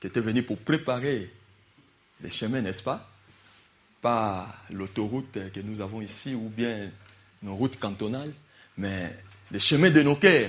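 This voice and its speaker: A man with a non-native accent speaks at a very slow pace, leaving long, frequent pauses. His pitch sits in the medium range with ordinary variation, while his loudness swings widely. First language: not French (speaking French). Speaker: preacher. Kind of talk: sermon. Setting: church. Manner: animated.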